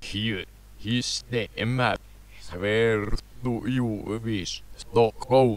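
A put-on character voice from a man of medium pitch, very slow in pace, with long, frequent pauses

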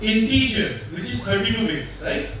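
Strong room echo and light background noise surround a man as he speaks. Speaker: conference speaker. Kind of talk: lecture. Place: hall.

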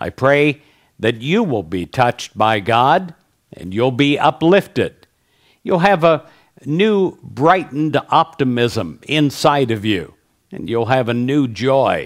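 Against a quiet background, a man speaks very slowly in a warm tone with very wide pitch swings. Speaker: prayer leader. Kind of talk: fervent prayer, spoken as an earnest blessing to the listener. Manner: earnest, warm, uplifting; measured, repetitive 'I pray' cadence. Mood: warm, smiling, uplifting. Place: studio. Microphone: headset.

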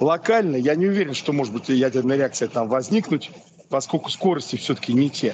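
A man talks at a fairly quick pace with lively intonation in a fairly high voice. There is light background noise. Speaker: academic examiner. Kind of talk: academic discussion. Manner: animated. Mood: thoughtful, critical questioning. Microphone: video call.

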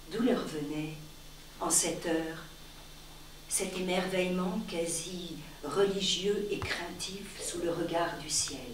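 At a very slow pace, a woman speaks at a fairly low pitch with fairly even intonation and long, frequent pauses. Noticeable background noise and audible room echo fill the recording. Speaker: reader of a short story. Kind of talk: literary audiobook reading, a live public reading of a short story. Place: stage. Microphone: camera far.

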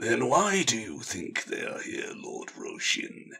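Putting on a raspy character voice, a man speaks at an extremely high pitch and a fairly slow pace. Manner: boorish, sneering.

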